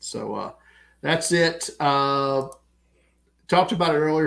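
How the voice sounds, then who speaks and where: A man speaks at a fairly slow pace with a strong Southern American accent. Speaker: podcast co-host. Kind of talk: casual chat.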